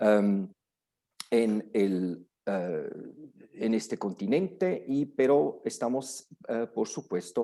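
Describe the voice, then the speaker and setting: A man speaks at a very slow pace in a strong non-native accent, his tone dark and mellow. His pitch swings very widely. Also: medium pitch for a man. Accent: strong foreign accent in Spanish. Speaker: lawyer. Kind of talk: lecture. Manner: halting, many fillers and restarts.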